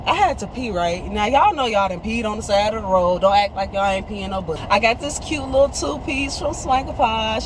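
A woman speaks at a fairly quick pace with ordinary pitch variation. There is noticeable background noise. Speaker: vlogger. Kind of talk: casual vlog chat. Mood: playful, joking. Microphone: phone near.

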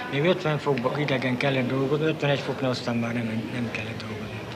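A man speaks rather slowly while clear background noise carries on. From Transcarpathia. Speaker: former prisoner of war; witness. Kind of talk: interview answer. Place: home room. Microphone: old recording.

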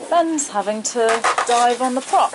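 Against noticeable background noise, a woman speaks with lively intonation. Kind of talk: casual vlog chat. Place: boat. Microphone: phone near.

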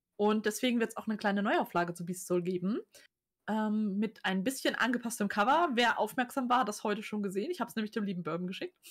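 A woman's fairly high, somewhat breathy voice with lively intonation at a very fast pace, against a quiet background. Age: 30s. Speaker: author and cover designer; guest. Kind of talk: casual chat. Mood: candid, reflective. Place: home room. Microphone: webcam.

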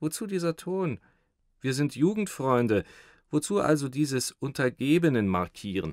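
Theatrical in tone, a man speaks at a fairly high pitch with very wide pitch swings and a moderate pace. The sound is dry with no echo and a quiet background. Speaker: audiobook narrator. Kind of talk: dramatized literary reading with character voices. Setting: studio recording. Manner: switches into a fawning, stammering servile voice for the thin man; theatrical, laughing in character between narrated lines. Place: studio.

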